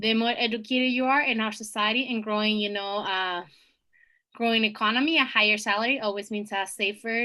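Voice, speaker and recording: Her tone bright and sharp, a woman talks at a fairly quick pace, at a fairly high pitch with ordinary pitch variation. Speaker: student presenter. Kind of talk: presentation over slides. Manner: fast.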